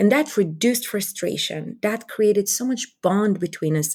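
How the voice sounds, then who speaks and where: A woman with an Israeli accent speaks in an animated tone at medium pitch. Her pace is moderate and her pitch varies in an ordinary way. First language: Hebrew. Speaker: pediatric communication advocate. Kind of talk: podcast interview.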